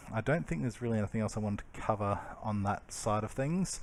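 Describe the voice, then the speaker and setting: This man talks in an Australian accent, pitched at a medium level. There is a silent background and a very clean recording. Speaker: electric car channel host. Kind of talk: casual explainer over video. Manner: hesitant, many fillers.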